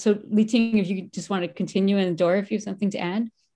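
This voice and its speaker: A woman speaks with a dark, mellow tone. The recording is very clean, with a silent background. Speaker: radio host. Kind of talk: radio interview. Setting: virtual studio.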